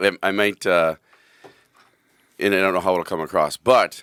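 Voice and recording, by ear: A man's hoarse yet clear, smooth voice, fairly bright in tone, with fairly even intonation at a moderate pace.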